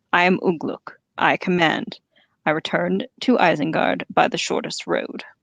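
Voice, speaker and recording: A growling, put-on character voice at a middle pitch moves at a moderate pace over a quiet background. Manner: commanding, evil.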